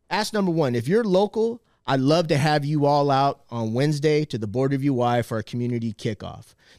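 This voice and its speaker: In a dry, close recording with no echo and a very clean, silent background, a man with a fairly high pitch and lively intonation talks at a fairly quick pace with hardly any pauses, an unremarkable speaking voice. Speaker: activist on media campaign. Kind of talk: casual chat.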